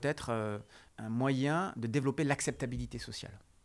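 This very clean recording with a silent background captures a man talking at a medium pitch. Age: 40s. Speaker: sociologist and lecturer. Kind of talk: interview. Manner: halting.

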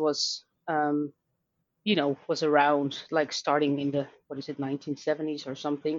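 In a Dutch accent, a woman with a very deep, low pitch talks at a moderate pace. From Netherlands. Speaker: learning designer and author. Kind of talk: interview.

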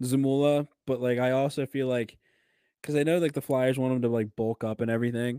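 In a very clean recording with a silent background and a dry, close sound with no echo, a man speaks at a medium pitch with a dark, mellow tone and fairly even intonation. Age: 20s. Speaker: hockey podcast co-host. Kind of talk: casual chat.

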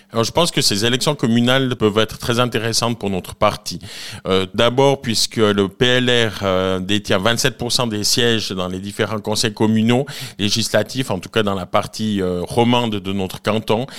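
A man with an ordinary speaking voice talks at a fairly slow pace, his fairly low pitch showing ordinary pitch variation. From Switzerland, Valais (Nendaz). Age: 40s. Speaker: cantonal politician. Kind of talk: radio interview. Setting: live radio from a bar venue.

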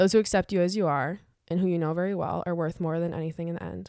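With a plain, everyday voice, a woman talks at a fairly quick pace, her fairly low pitch kept in fairly even intonation. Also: very clean recording, silent background. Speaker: podcast co-host. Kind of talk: casual chat.

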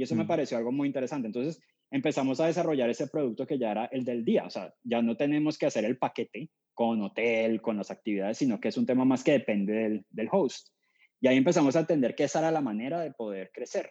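Medium-pitched male voice with a dark, mellow tone, ordinary pitch variation and a very fast pace, over a quiet background. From Colombia, Cali. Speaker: startup founder. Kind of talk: interview.

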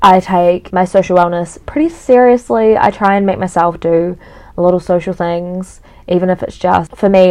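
A woman speaks with a New Zealand accent. Her intonation stays fairly even. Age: 20s. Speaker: podcast host. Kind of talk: solo podcast monologue. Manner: casual, chatty with many fillers.

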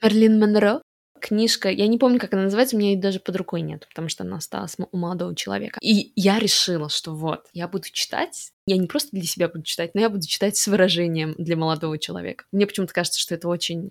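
A woman of medium pitch at a very fast pace, with ordinary pitch variation. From Russian-speaking, raised partly in Montreal. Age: 30s. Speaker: podcast co-host. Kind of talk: casual chat.

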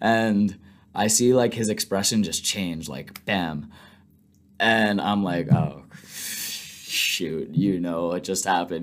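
Speaking with an American accent, a man uses a very deep, low pitch with ordinary variation and leaves long, frequent pauses. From US Northeast (Long Island, New York). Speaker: business school student. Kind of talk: interview.

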